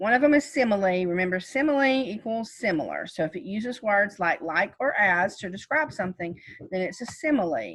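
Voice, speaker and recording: Speaking in a normal speaking voice, a woman talks at a fairly quick pace with hardly any pauses, a medium pitch, and lively intonation. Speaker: teacher. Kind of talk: lecture.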